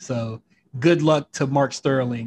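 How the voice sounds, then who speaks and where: Somewhat breathy, a man speaks in a dry, close sound with no echo. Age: 20s. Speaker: wrestling podcast host. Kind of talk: casual chat. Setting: home recording setup.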